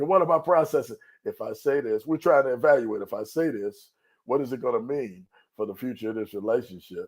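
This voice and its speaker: On a very clean recording with a silent background, a man talks at a fairly quick pace in a passionate, animated tone with lively intonation. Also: medium pitch for a man. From US Midwest, Chicago. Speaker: pastor. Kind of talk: discussion show interview. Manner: gets loud when excited.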